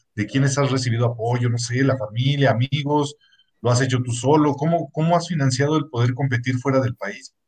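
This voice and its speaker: A man with a medium pitch speaks fairly quickly in a somewhat breathy voice, his intonation fairly even. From Mexico, Estado de México. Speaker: podcast co-host. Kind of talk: casual chat.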